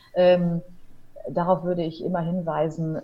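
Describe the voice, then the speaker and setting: A woman talks at a moderate pace and medium pitch. There is noticeable background noise. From Ruhr area, Germany (Hamm). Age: 30s. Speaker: wedding officiant and radio presenter. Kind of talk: casual interview. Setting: online call.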